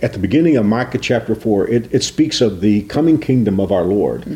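Speaking at a moderate pace, a man uses a medium pitch and ordinary pitch variation, his voice somewhat breathy. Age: 60s. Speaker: pastor. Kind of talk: devotional talk.

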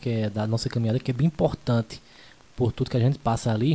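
Dark, mellow tone, somewhat breathy, at a very fast pace. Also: man. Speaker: podcast host and radio announcer. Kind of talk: casual interview chat, live stream.

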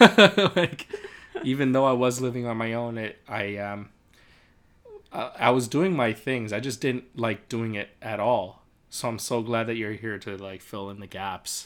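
A man at medium pitch and a fairly slow pace, with ordinary pitch variation, big swings in loudness and long, frequent pauses. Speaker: podcast co-host. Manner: loud, shouting at times.

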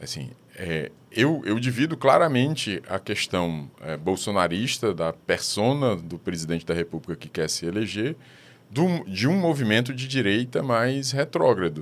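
Very wide pitch swings at a fairly slow pace, on a very clean recording with a silent background. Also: man, medium pitch for a man. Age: 50s. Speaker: social scientist and professor. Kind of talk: interview. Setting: studio. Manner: halting.

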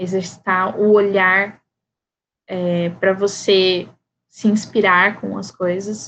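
The woman's voice sits at a medium pitch with monotone, flat intonation. She speaks at a very slow pace, with long, frequent pauses. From Brazil, Campo Grande, Mato Grosso do Sul. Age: 30s. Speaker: writer. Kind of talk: interview.

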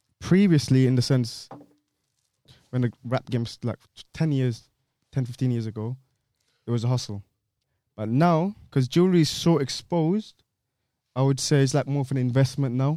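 A man's medium-pitched voice in a London accent, dark and mellow in tone, with long, frequent pauses and a dry, close sound with no echo. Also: ordinary pitch variation, moderate pace. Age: 20s. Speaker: podcast co-host. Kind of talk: casual chat.

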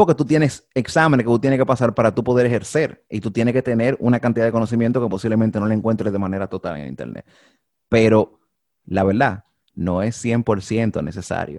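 Recorded very cleanly over a silent background, a man at medium pitch talks at a fairly quick clip with ordinary pitch variation, the sound dry and close with no echo. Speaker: podcast host. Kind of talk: casual chat.

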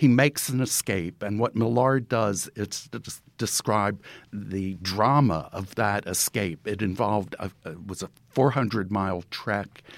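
With an ordinary speaking voice, a man talks at a fairly low pitch and a fairly slow pace, using ordinary pitch variation. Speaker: book review editor. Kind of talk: panel discussion.

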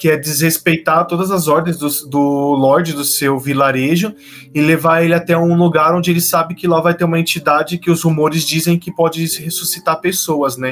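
Against noticeable background noise, a man speaks at a high pitch with monotone, flat intonation. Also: moderate pace. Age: 20s. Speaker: podcast host. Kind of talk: casual chat.

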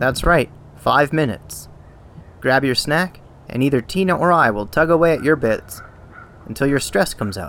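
With lively intonation and long, frequent pauses, a man speaks at a moderate pace in a fairly high pitch. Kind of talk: stand-up comedy, absurdist crude bit.

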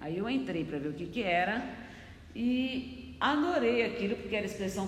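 Fairly slow, fairly high female speech amid audible room echo and noticeable background noise. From Brazil. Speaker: choreographer and dance teacher. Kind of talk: interview.

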